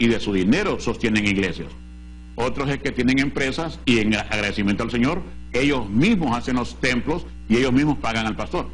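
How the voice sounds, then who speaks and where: This man talks at a fairly quick pace with vocal fry and a medium pitch. His pitch varies an ordinary amount, and audible room echo surrounds him. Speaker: pastor and Bible TV show host. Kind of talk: TV Bible teaching program. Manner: emphatic, forceful preaching.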